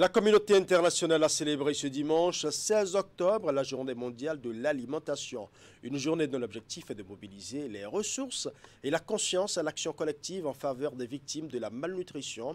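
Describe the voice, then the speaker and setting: With lively intonation and a fairly high pitch, a man talks at a moderate pace. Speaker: TV news anchor. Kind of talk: news reading. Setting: studio. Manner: formal. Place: studio.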